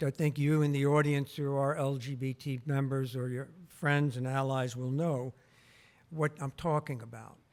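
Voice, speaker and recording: A man with an unremarkable speaking voice and a fairly high pitch talks at a fairly slow pace, his intonation fairly even. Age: 60s. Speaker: health researcher and former council chair. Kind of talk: public talk. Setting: museum auditorium with audience.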